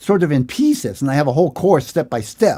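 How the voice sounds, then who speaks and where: Very wide pitch swings in a fairly high male voice. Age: 60s. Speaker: guitar teacher. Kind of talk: live-stream Q&A lesson. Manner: casual, hesitant with fillers.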